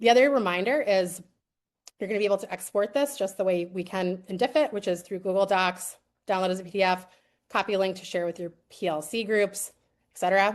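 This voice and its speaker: This woman speaks in an American accent at a medium pitch and a fairly quick pace. Her pitch varies in an ordinary way, and the background is quiet. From US East Coast. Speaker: edtech presenter, former teacher. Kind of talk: live webinar product demo. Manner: fast.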